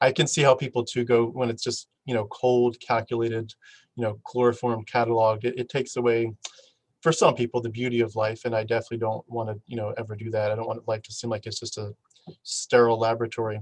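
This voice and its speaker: Monotone, flat intonation and a somewhat breathy quality at a very fast pace, in a dry, close sound with no echo. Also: man, medium pitch for a man. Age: young. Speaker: podcast host. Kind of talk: casual chat. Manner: halting.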